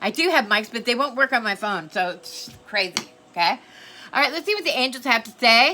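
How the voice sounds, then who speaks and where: Loud and high-pitched, a woman speaks at a moderate pace with lively intonation. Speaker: tarot reader. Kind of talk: tarot reading. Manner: casual, frequent okay fillers.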